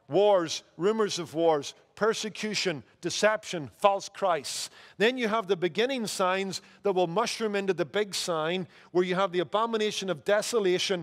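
Against a quiet background, a man speaks at a moderate pace in a high pitch with ordinary pitch variation. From Northern Ireland. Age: 50s. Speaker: pastor. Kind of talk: sermon. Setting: church. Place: church. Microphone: headset.

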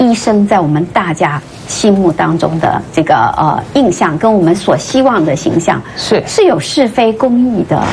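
The voice moves at a fairly slow pace with very wide pitch swings and very even loudness over light background noise. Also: woman. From Taiwan. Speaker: political commentator, former journalist. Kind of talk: political talk show discussion. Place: studio.

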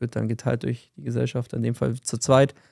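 With vocal fry and a dark, mellow tone, a man talks at a fairly quick pace against a quiet background. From Bavaria, Fürstenfeldbruck near Munich; Bavaria. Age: 30s. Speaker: podcast co-host, sales entrepreneur; podcast host. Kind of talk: casual chat. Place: office. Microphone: studio mic.

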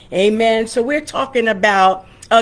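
Using fairly even intonation, a woman speaks at a fairly slow pace. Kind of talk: sermon and prayer. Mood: calm, devotional. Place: home room. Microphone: webcam.

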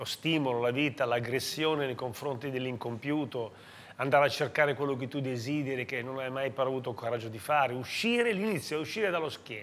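The man talks at a fairly quick pace. His pitch variation is ordinary. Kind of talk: interview answer. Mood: reflective, warm. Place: bar. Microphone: lapel.

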